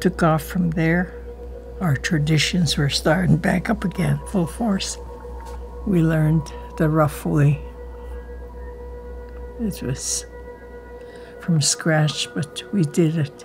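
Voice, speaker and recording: A woman talks at a very slow pace in an Alaskan accent. Light background noise is present. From Kake, Alaska. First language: Tlingit. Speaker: Elder and Tlingit language teacher. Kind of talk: interview answer. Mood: reflective, earnest. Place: home room.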